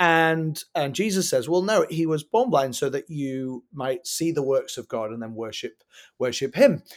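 In a very clean recording with a silent background, a man with an English accent speaks at a fairly high pitch with lively intonation. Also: fairly slow pace. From England. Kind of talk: interview. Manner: halting.

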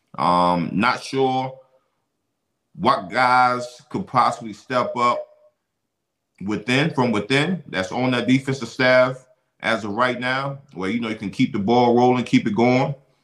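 A man talks in a plain, everyday voice at medium pitch. His pace is fairly slow, and his pitch varies in an ordinary way. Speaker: podcast host and former football player. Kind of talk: casual sports talk podcast. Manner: casual, conversational, uses 'man' a lot.

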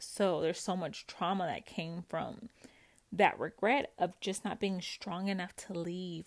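Heard on a very clean recording with a silent background, a woman has a plain, everyday voice at medium pitch, moving at a moderate pace with ordinary pitch variation. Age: 30s. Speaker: podcast host sharing recovery from narcissistic abuse. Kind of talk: personal monologue, supportive self-help talk. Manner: casual, conversational with frequent laughs.

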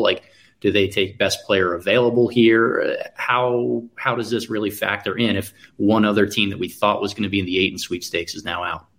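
With an ordinary speaking voice, a man talks at a fairly quick pace, his fairly low pitch held in fairly even intonation. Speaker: basketball draft analyst. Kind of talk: casual live draft commentary.

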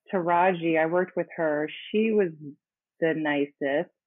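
A woman with an American accent and a normal speaking voice, fairly low in pitch, fairly slow, and fairly even in intonation. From Los Angeles, US. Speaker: singer and actress. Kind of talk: interview.

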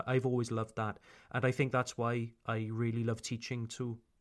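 The speaker has a Welsh accent and talks at a moderate pace. The recording is very clean, with a silent background. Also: man. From South Wales, Pontypool. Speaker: English teacher. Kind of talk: casual autobiographical talk. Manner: natural pace, unedited everyday speech.

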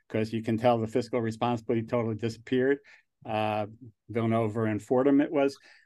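Over a quiet background, a man with a medium pitch talks at a fairly quick pace in a dark, mellow tone. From New Jersey / New York, US Northeast. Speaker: angel investor and alumnus. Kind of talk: casual interview conversation. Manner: rambling, halting, laughs often.

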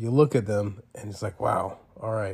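This man's voice is somewhat breathy, with fairly even intonation at a moderate pace. The recording is very clean and the background silent. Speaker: podcast co-host. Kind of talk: casual chat.

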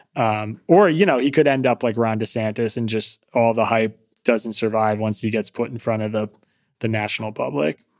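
A man with a normal speaking voice talks at a moderate pace, at medium pitch with ordinary pitch variation. The recording is very clean, with a silent background. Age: 30s. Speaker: podcast host. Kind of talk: casual chat.

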